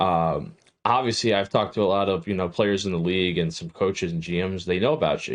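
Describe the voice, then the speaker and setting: In an unremarkable speaking voice, a man talks at a fairly quick pace with ordinary pitch variation over a quiet background. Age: 20s. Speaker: esports show host interviewer. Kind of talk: casual interview. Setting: livestream.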